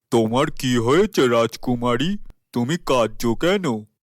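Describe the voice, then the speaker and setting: Using a cartoonish character voice, a man speaks at a medium pitch and a fairly slow pace with lively intonation. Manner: smooth, manipulative.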